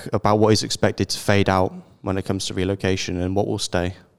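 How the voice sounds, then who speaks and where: Speaking at a fairly quick pace, a man with a British accent has a fairly low pitch. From Britain. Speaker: podcast host. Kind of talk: interview.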